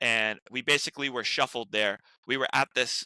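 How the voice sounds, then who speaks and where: An animated man with an American accent talks at a fairly quick pace in a medium pitch with ordinary pitch variation. His tone is bright and sharp, in a dry, close sound with no echo. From US Northeast, Rhode Island. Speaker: actor. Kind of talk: casual interview chat. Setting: podcast. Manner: stuttering.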